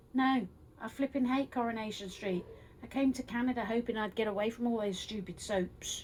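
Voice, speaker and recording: Over noticeable background noise, a woman with a fairly high voice talks at a fairly quick pace with fairly even intonation. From London, England. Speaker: crafter vlogger. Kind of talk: casual tutorial vlog.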